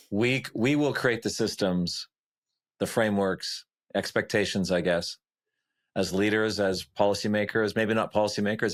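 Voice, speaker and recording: In a plain, everyday voice, a man speaks at a moderate pace with a fairly low pitch, fairly even intonation and very even loudness. The recording is very clean, with a silent background. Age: 60s. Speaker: podcast host. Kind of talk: interview conversation.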